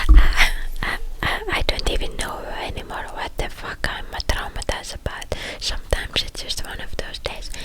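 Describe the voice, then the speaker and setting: A moderate-paced whisper over noticeable background noise. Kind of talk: ASMR rambling talk. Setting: close microphone. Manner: whispered.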